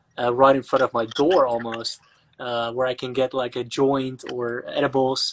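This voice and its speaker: Speaking with a Dutch accent, a man keeps a monotone, flat intonation. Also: medium pitch for a man, moderate pace. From Netherlands, Amsterdam. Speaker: actor and online interviewer. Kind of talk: casual interview chat. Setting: Instagram live video call.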